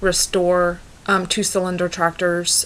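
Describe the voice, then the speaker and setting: A woman speaks with an American accent. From US Midwest, Kansas. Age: 20s. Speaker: farm-raised young woman introducing herself. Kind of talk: personal introduction, self-presentation. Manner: halting, many fillers.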